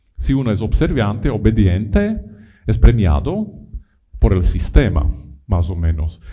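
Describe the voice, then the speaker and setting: A man with an Italian accent at a very slow pace, with audible room echo. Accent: non-native Spanish with Italianisms. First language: not Spanish (speaking Spanish). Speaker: lecturer on education. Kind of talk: conference lecture. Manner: halting, many repetitions.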